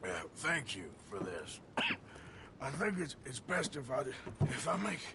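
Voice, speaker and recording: A man's put-on character voice, fairly high in pitch, at a moderate pace over loud background noise. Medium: video game. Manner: terse, drawling.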